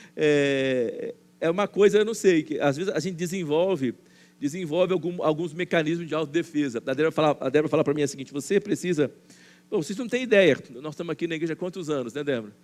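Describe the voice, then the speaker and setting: Talking at a very fast pace, a man speaks with fairly high pitch. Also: ordinary pitch variation. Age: 60s. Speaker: pastor. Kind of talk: sermon. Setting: church. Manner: halting, frequent fillers and repetitions.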